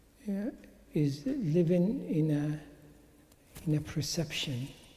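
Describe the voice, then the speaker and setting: A man with a dark, mellow tone and a fairly high pitch. The room echo is audible. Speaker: Islamic teacher. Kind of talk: religious talk. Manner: halting.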